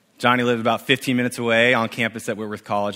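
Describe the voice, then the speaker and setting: Very fast and flat in intonation, a man with a West Coast accent talks in a bright, sharp tone. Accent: general American (West Coast). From US Pacific Northwest, Spokane, Washington. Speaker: youth ministry director, guest preacher. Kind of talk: sermon. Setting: church service with congregation. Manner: casual, with fillers.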